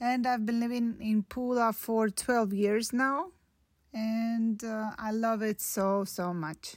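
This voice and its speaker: Speaking very slowly in a Russian accent, a woman with a fairly high pitch keeps her intonation fairly even on a very clean recording with a silent background. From Russia (Podolsk near Moscow). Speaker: doctor and volunteer. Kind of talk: prepared recorded statement.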